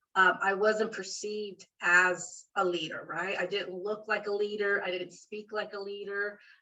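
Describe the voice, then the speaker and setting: A woman's medium-pitched voice in a Spanish accent at a fairly slow pace. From rural central California. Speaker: library dean. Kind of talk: interview.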